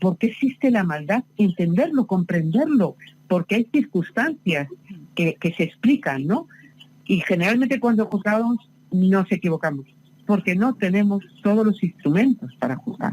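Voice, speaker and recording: A woman speaks in a somewhat breathy, medium-pitched voice with very wide pitch swings and very even loudness. The sound is dry and close, with no echo. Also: fairly slow pace. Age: 60s. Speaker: novelist. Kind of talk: interview. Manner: halting.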